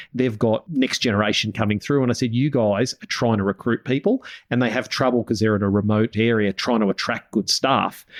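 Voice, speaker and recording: With an Australian accent, a man talks at a fairly quick pace with hardly any pauses and fairly even intonation. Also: medium pitch for a man, very even loudness, dry, close sound with no echo. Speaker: podcast host and business coach for farming families. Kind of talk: podcast interview.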